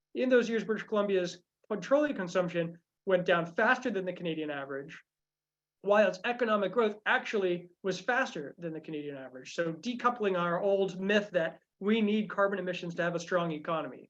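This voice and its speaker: At a fairly quick pace, a woman talks at medium pitch with lively intonation. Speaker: climate policy workshop presenter. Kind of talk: presentation. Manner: fast; halting, many fillers.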